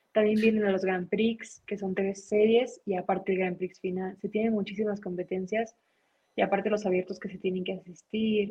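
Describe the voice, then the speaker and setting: A woman's somewhat breathy voice at medium pitch, with monotone, flat intonation and a moderate pace. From Mexicali, Baja California, Mexico. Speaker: taekwondo world champion athlete. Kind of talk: interview.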